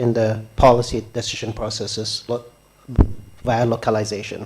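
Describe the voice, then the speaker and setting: A man speaks in a somewhat breathy voice. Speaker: development agency official on panel. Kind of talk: conference panel remarks. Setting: conference hall with audience. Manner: soft-spoken.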